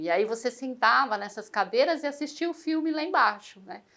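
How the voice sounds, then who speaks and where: A woman's voice with lively intonation. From Brazil, São Paulo. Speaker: interviewee. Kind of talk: interview testimony. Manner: hesitant, many fillers.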